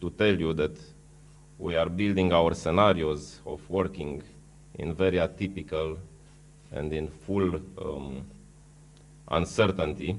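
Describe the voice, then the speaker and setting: A man with a Romanian accent speaks in a very deep, low pitch with ordinary pitch variation. His pace is fairly slow, with long, frequent pauses and audible room echo. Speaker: food company executive. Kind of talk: conference panel presentation. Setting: conference hall with audience. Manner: halting.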